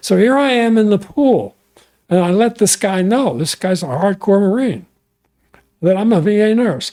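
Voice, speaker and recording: At a moderate pace, a man speaks with a high pitch and lively intonation, very even loudness, and long, frequent pauses. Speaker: retired psychiatric nurse. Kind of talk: interview answer.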